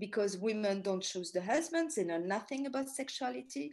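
The speaker has a French accent and a somewhat breathy voice with very wide pitch swings. The background is quiet. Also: woman. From Paris, France. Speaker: tour guide and author; tour guide. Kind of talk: lecture. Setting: talk to a ladies group. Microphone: video call.

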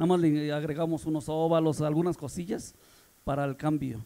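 A man's fairly high-pitched voice, dark and mellow in tone, at a moderate pace. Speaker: sound system technician. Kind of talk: casual interview. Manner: halting.

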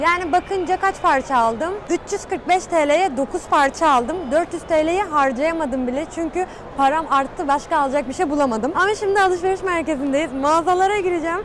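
Her extremely high-pitched voice holds a very even loudness, the sound dry with no echo and light background noise behind the woman. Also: ordinary pitch variation, moderate pace, hardly any pauses. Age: 20s. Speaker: YouTuber. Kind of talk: vlog. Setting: outdoors. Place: shop. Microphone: lapel.

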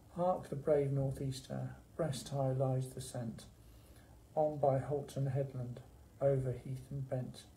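Somewhat breathy and dark, mellow in tone, a man speaks at a very slow pace with monotone, flat intonation. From England. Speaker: library staff member hosting poetry session. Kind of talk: poetry reading, performed verse read aloud in a warm library chat. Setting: library video session. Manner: measured, rhythmic, expressive reading; friendly, conversational. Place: office. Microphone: phone near.

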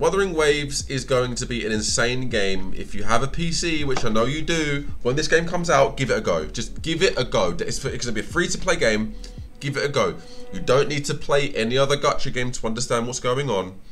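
The speaker moves at a fairly quick pace while faint music plays behind. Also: man. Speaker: gaming streamer. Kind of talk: casual stream commentary to chat. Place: home room.

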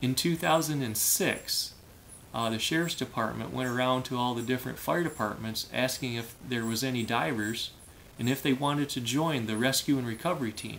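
Moderate pace from a man with an American accent, ordinary pitch variation and light background noise. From Michigan. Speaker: diver and former firefighter. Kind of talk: casual vlog monologue. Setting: home room, filmed video. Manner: hesitant, many fillers. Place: home room. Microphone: phone near.

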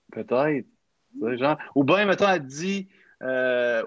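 Over a quiet background, a man with a Quebec accent speaks with ordinary pitch variation. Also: dry sound with no echo. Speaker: youth podcast facilitator. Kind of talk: casual chat. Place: home room. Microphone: video call.

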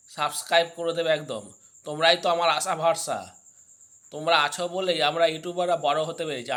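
With monotone, flat intonation, a man speaks at a fairly high pitch. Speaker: vlogger. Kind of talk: casual vlog talk to camera. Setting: filming in front of a mirror. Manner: halting.

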